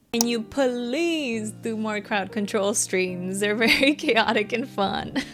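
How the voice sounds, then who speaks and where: Speaking fairly slowly with a Venezuelan accent, a woman has a fairly high-pitched voice. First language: Spanish. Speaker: cozy gaming content creator. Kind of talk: casual Q&A chat while coloring.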